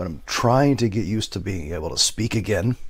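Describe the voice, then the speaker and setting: A man's somewhat breathy, fairly low voice at a fairly quick pace, in a very clean recording with a silent background. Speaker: movie reviewer. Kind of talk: comedic video intro.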